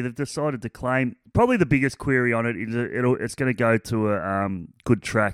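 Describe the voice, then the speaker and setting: In an Australian accent, a man talks at a fairly quick pace. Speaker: racing analyst. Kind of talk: casual chat.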